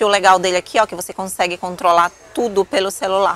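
A woman's voice, dry and free of echo. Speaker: vlogger. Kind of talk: casual vlog chat. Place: shop. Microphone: phone near.

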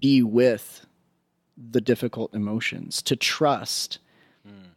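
Heard against a quiet background, the voice moves at a very slow pace with ordinary pitch variation and a dry sound with no echo. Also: man. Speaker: psychotherapist. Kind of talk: interview conversation. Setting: guest's home. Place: home room.

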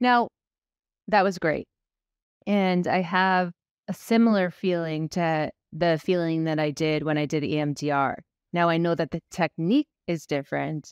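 A woman speaks at a fairly slow pace with ordinary pitch variation and long, frequent pauses. The sound is dry with no echo, and the background is quiet. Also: fairly low pitch for a woman. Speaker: ADHD coach podcast host; podcast host. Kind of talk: casual interview. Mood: reflective, emotional. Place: home room. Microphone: studio mic.

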